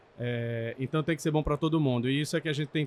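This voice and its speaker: A man talks at a fairly quick pace. He has a normal speaking voice. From Brazil, Pernambuco (Recife). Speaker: technology director at car dealership group. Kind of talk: podcast interview. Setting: trade event.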